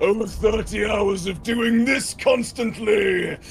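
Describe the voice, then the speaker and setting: Shouting in a put-on character voice, a man uses a high pitch with monotone, flat intonation. He goes at a very slow pace over clear background noise. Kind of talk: video game battle shouting. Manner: fiery, zealous, yelling.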